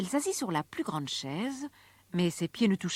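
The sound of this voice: The voice is an unforced reading voice. Nothing is pushed in the delivery.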